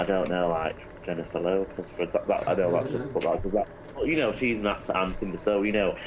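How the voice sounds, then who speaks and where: Over noticeable background noise, someone speaks at a very fast pace with an English accent. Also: man. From Greater Manchester, England. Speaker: actor and singer-songwriter. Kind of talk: casual interview.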